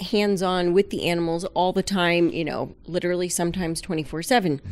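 A woman with an American accent speaks at a fairly quick pace in a plain, everyday voice of medium pitch. The recording is very clean with a silent background. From South Florida. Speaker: aquarium veterinarian. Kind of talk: casual interview.

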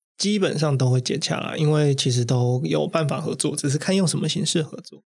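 Somewhat breathy speech comes at a moderate pace, its pitch varying in an ordinary way. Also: man. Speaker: influencer marketing manager. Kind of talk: interview.

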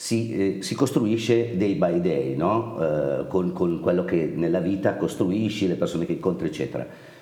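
The voice has a dark, mellow tone with vocal fry, moving at a moderate pace through audible room echo. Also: man. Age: 50s. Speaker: company founder. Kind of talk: interview.

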